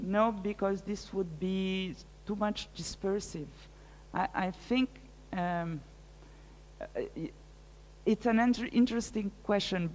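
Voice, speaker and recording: A woman's medium-pitched voice in a French accent, fairly slow, with ordinary pitch variation and long, frequent pauses. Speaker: art curator and researcher. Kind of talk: lecture Q&A. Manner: halting, many hesitations.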